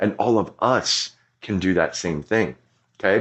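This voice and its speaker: A man's very deep, low voice, animated in tone. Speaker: pastor. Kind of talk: sermon. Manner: loud.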